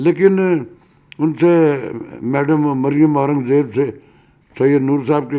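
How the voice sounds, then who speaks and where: Dark, mellow tones in a fairly high male voice. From Pakistan, Lahore. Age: 70s. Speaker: veteran actor and radio broadcaster. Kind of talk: interview.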